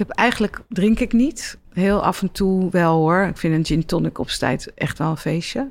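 A woman with a normal speaking voice talks at a fairly slow pace and medium pitch, her intonation lively, on a very clean recording with a silent background. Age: 50s. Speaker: doctor and psychologist. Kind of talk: interview. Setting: stage with audience.

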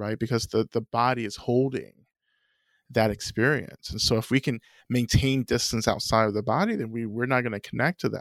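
A man with a plain, everyday voice and an American accent talks at a fairly quick pace with fairly even intonation. The recording is very clean with a silent background and a dry, close sound with no echo. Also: medium pitch for a man. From US South, North Georgia. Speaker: Buddhist teacher and author. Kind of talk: interview.

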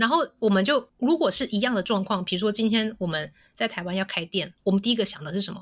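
The speech races at a very fast pace with lively intonation and hardly any pauses. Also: woman, medium pitch for a woman. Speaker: co-working office sales rep. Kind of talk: casual interview chat.

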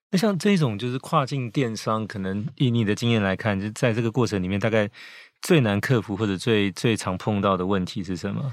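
A man speaks in a plain, everyday voice at a fairly quick pace, his pitch fairly low with ordinary variation. The recording is very clean, with a silent background. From Taiwan. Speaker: podcast host, magazine editor-in-chief. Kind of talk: interview.

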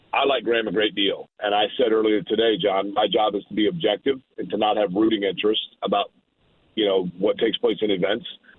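Speaking at a fairly quick pace, a man with a normal speaking voice has a fairly low pitch and ordinary pitch variation. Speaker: morning radio host and race broadcaster. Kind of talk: casual sports talk.

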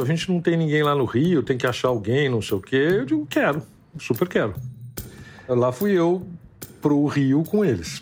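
Over music in the background, the talking proceeds at a moderate pace. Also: man. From Brazil, São Paulo. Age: 60s. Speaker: interviewee telling personal story. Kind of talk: storytelling interview. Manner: halting, repeats words.

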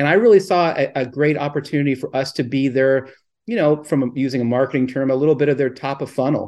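A man with an American accent and fairly high pitch talks at a very fast pace with fairly even intonation against a quiet background. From Southern California. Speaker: minor league team owner. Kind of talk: interview. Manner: halting.

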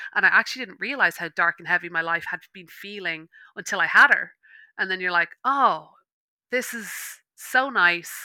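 With a bright, sharp tone, a woman speaks at a medium pitch and a moderate pace with lively intonation. Her loudness swings widely, long pauses come often, and the sound is dry and close with no echo. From Ireland. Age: 30s. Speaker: meditation teacher. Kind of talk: casual interview. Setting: online call.

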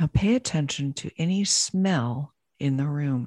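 A woman's very deep, low, somewhat breathy voice, dark and mellow in tone, calm and soothing, with ordinary pitch variation and a dry, close sound with no echo. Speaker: podcast host and business coach. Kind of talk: guided meditation. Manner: slow, calm, soothing.

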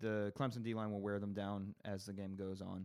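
This very clean recording with a silent background features a man speaking. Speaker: comedian and college football fan. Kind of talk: casual banter, sports talk.

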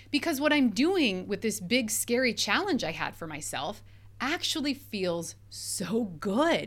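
In a very clean recording with a silent background, a woman with a fairly high pitch and vocal fry speaks in an upbeat tone at a fairly slow pace with very wide pitch swings. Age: 40s. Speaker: life coach and podcast host. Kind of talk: solo podcast monologue. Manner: conversational, upbeat.

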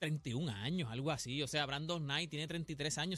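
With a Puerto Rican accent, this man has a fairly high pitch, a bright, sharp tone and ordinary pitch variation. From Puerto Rico, Loíza. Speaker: sports commentator. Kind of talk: casual radio sports chat.

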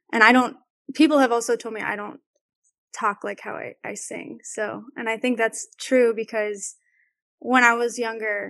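A soft-spoken woman talks with a fairly high pitch. Her delivery is monotone and flat at a moderate pace. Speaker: singer. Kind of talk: casual chat. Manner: not loud.

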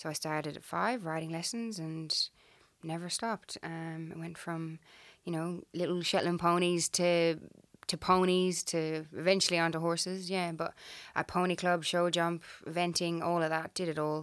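A woman's fairly low voice in an Irish accent, monotone and flat, on a very clean recording with a silent background. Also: moderate pace. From Ireland. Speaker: horse trainer. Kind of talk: casual chat.

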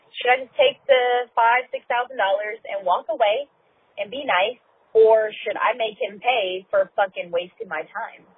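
A woman talks with lively intonation and a fairly high pitch at a moderate pace, in an ordinary speaking voice. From California. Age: 30s. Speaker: voicemail caller. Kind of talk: voicemail asking advice. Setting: recorded voicemail.

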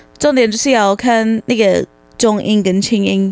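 A woman with a fairly high pitch and fairly even intonation is heard in a dry, close recording with no echo. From United States. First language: English (speaking Chinese). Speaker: English tutor. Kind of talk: casual chat.

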